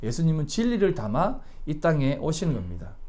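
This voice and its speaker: With audible room echo around him, a man talks at a moderate pace in a dark, mellow tone, his pitch swinging very widely. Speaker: pastor. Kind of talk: sermon. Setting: church.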